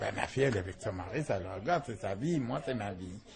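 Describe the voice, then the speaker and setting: The speaker is a man with a fairly low pitch and a normal speaking voice. His intonation is lively. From Algeria. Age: 60s. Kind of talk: interview testimony.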